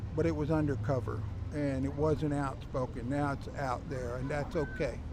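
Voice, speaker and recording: Music plays in the background, with audible room echo. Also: man, medium pitch for a man, ordinary pitch variation, moderate pace. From US South. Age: 70s. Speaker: rally volunteer. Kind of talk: street interview.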